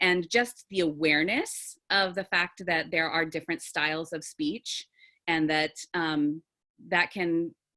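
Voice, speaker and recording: A woman speaks fairly slowly at a fairly low pitch. The background is quiet. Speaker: theatre teacher and actor. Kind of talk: video call brainstorming discussion. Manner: authoritative.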